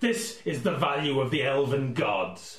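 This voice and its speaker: Shouting in a put-on character voice with a northern English accent, a man uses a fairly high pitch and very wide pitch swings. There is slight echo. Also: moderate pace. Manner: shouting, angry.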